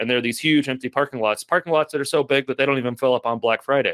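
A man's medium-pitched voice with fairly even intonation, dry and close with no echo, on a very clean recording with a silent background. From Kentucky (Lexington). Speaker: urban planner and author. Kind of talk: interview.

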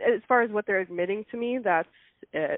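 At a moderate pace, a normal speaking voice comes through with ordinary pitch variation. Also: woman. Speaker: daughter of a missing woman. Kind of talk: interview.

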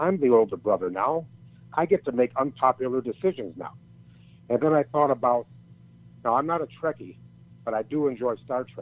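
This man talks at a fairly quick pace, with long, frequent pauses. His voice sits at a medium pitch and his intonation is lively. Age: 60s. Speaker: retired pro wrestler and motivational speaker. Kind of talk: interview.

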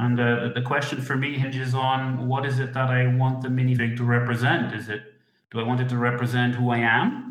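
A man with a Dutch accent talks at a fairly quick pace in a monotone, flat intonation. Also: medium pitch for a man. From Netherlands. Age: 40s. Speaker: hobbyist model designer. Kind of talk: interview. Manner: halting.

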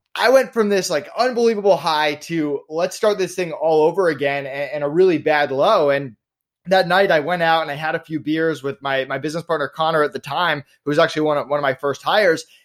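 A man with an unremarkable speaking voice talks at a fairly quick pace with hardly any pauses, his fairly high pitch showing ordinary pitch variation. The recording is very clean, with a silent background. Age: 30s. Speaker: entrepreneur. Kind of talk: interview.

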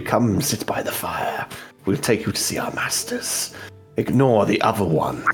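A man whispers in a put-on character voice at a moderate pace. Clear music plays in the background. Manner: projecting, psychic-sounding.

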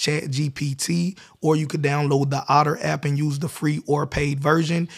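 A somewhat breathy man with an American accent and a fairly high pitch, at a moderate pace with a monotone, flat intonation, in a very clean recording with a silent background. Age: 30s. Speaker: podcast host, entrepreneur. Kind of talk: casual chat; tutorial.

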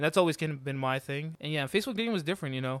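In a very clean recording with a silent background and a dry, close sound with no echo, a man speaks at a fairly high pitch with ordinary pitch variation. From Georgia, US (Mexican-American family). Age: 20s. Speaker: podcast host. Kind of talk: casual chat.

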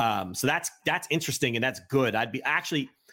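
With an American accent, a man with a fairly high pitch speaks with vocal fry. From US Northeast (New Jersey). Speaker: wrestling journalist and podcaster. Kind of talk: casual chat.

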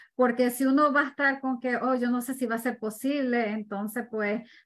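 Speaking at a moderate pace in a high voice, a woman shows ordinary pitch variation on a very clean recording with a silent background. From Ecuador. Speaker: real estate investor. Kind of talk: interview.

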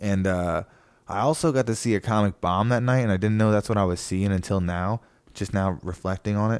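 A man has an ordinary speaking voice, fairly low in pitch with ordinary pitch variation. He talks at a fairly quick pace, his loudness very even. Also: very clean recording, silent background. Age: 30s. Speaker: comedian, podcast host. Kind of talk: casual chat.

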